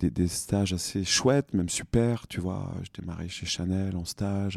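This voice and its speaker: A man speaks at a fairly slow pace in a dark, mellow tone. The recording is very clean and dry, close with no echo and a silent background. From France, Franche-Comté. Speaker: cosmetics brand co-founder. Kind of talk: interview. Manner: halting.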